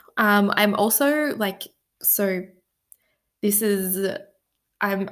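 A medium-pitched woman with an Australian accent, in a very clean recording over a silent background. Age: 20s. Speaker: podcast host. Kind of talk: personal storytelling monologue. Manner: casual, filler-heavy.

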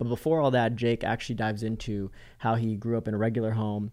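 A man talks with an American accent and a dark, mellow tone. His intonation is fairly even. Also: quiet background. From Florida. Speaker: podcast host, coach. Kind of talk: scripted intro; interview, casual chat.

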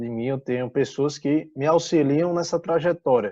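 The man's voice has a dark, mellow tone at a fairly high pitch. His pitch varies in an ordinary way. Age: 20s. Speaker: real estate agent. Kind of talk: interview.

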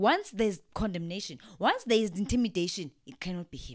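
At a medium pitch, a woman speaks in an animated tone at a moderate pace, her pitch swinging very widely. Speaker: podcast co-host. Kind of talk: casual faith-based chat.

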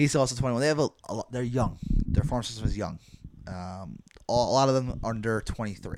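A man talks in an unremarkable speaking voice at a medium pitch. His pace is fairly quick, with ordinary pitch variation. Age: 20s. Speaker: baseball podcast host. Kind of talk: casual chat.

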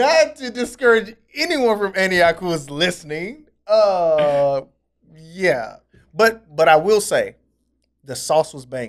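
Very slowly and with very wide pitch swings, a man with an American accent speaks at a high pitch. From US South. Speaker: pastor. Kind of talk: casual chat.

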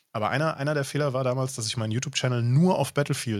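A man talks with ordinary pitch variation. The recording is very clean, with a silent background. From rural Germany. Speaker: streamer and podcast host. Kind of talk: casual chat.

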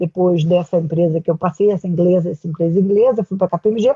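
A woman speaks at a fairly quick pace. Her voice is somewhat breathy, with a medium pitch. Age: 70s. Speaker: career transition consultant and executive coach. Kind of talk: interview.

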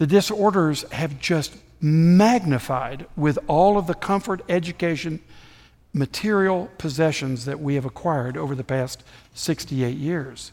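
A man's unremarkable speaking voice, fairly high in pitch with ordinary variation, at a fairly slow pace. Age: 60s. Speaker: visiting preacher. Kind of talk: sermon. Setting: church.

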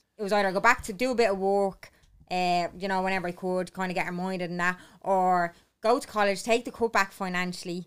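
Very fast and in an Irish accent, a woman speaks at a medium pitch with fairly even intonation on a very clean recording with a silent background. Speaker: podcast co-host. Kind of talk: casual chat.

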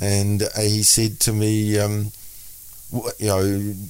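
A man with a fairly low pitch speaks with a New Zealand accent. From New Zealand (Auckland). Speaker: minister and author. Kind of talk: interview. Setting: studio.

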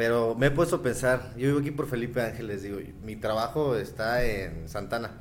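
Delivery comes at a fairly quick pace with ordinary pitch variation. Audible room echo is present. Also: man, medium pitch for a man. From Mexico. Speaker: podcast guest. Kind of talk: casual chat.

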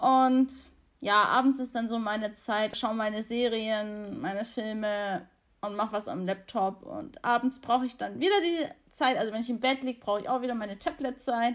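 A woman's plain, everyday voice, fairly high in pitch, at a moderate pace with ordinary pitch variation. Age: 20s. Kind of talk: interview.

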